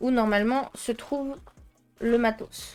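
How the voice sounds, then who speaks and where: A woman with a French accent at a very slow pace, music playing in the background. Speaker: art youtuber. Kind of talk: unboxing video. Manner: casual, hesitant with fillers.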